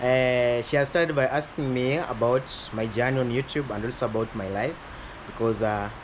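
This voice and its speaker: A man talks at a moderate pace, with noticeable background noise around him. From western Kenya. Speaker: YouTuber. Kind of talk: casual interview. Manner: loud.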